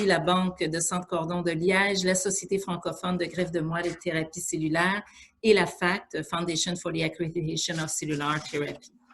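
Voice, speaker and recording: A woman with a Quebec accent, a fairly low pitch and monotone, flat intonation, at a moderate pace. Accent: Québécois French. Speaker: organization president giving welcome address. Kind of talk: formal welcome speech. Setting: video call webinar. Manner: hesitant, many fillers.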